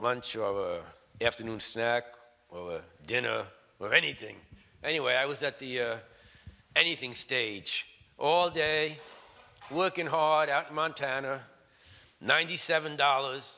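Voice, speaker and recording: Lively intonation marks this man's bright, sharp voice, pitched fairly high. He leaves long, frequent pauses. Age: 60s. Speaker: preacher. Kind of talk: sermon.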